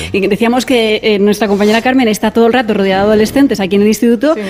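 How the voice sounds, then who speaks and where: There is noticeable background noise in this clip. A woman speaks at a fairly high pitch with ordinary pitch variation. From Madrid, Spain. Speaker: radio reporter. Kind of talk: on-location radio report. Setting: school classroom.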